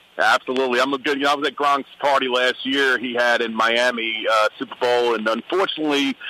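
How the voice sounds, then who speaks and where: Talking at a very fast pace with hardly any pauses, a man with an American accent keeps his intonation fairly even. The sound is dry and close with no echo, though noticeable background noise is present. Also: medium pitch for a man. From New York, Brooklyn. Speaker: former football player and radio guest. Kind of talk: radio interview.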